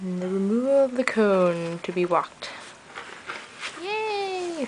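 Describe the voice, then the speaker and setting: A woman's very slow speech with long, frequent pauses, lively intonation and noticeable background noise. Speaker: pet owner. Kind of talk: talking to a pet dog. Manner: baby talk. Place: home room. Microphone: phone near.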